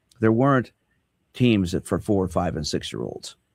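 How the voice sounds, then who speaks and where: With vocal fry and lively intonation, a man speaks at a moderate pace in a fairly low pitch, the sound dry and close with no echo. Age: 70s. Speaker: sports psychologist and radio host. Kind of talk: radio talk show discussion. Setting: radio studio.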